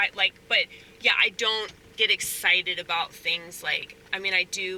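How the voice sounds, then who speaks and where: A woman speaks at a medium pitch and a fairly slow pace. Noticeable background noise runs under her voice. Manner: monotone, flat affect; hesitant, lots of fillers.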